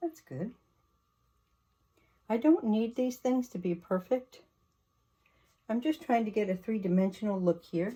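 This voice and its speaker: Woman speaking somewhat breathily at a fairly slow pace, with long, frequent pauses. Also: lively intonation. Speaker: oil painter. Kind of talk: painting tutorial narration.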